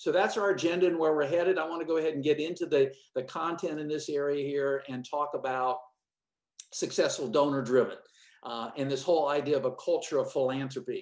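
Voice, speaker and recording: A man talks at a fairly quick pace. His voice is fairly high, with fairly even intonation. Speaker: fundraising consultant. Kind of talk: webinar presentation. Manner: fast.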